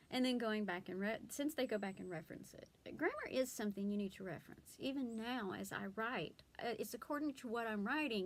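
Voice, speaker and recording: With a Southern US accent, a woman speaks at a fairly quick pace in a fairly high pitch with lively intonation. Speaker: blogger and homeschooling mom. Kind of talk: casual vlog talk. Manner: hesitant, many fillers.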